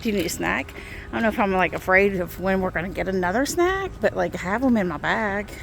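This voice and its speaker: A woman's voice with music in the background. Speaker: travel vlogger. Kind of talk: casual travel vlog chat. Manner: loud.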